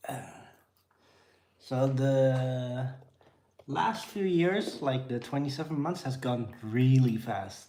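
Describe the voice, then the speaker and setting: Somewhat breathy speech with a dark, mellow tone and a Dutch accent, plus audible room echo. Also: man. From Netherlands, near Amsterdam. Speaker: vlogger, father. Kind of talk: casual live-stream chat. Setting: home, feeding kids on tripod.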